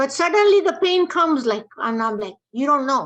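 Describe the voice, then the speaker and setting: The speaker is a woman. Her pitch moves in very wide swings. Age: 70s. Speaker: audience member asking a question. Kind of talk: question from the audience. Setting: video call.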